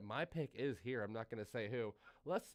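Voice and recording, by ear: A man's croaky, put-on character voice at a medium pitch, with lively intonation and a moderate pace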